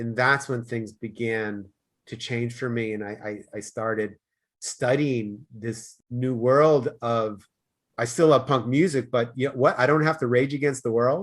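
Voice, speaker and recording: The speech moves at a fairly slow pace in an American accent. The background is quiet. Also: man, medium pitch for a man, fairly even intonation. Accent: Boston, comes out occasionally. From US Northeast, Boston. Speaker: life coach. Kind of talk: podcast interview. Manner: loud.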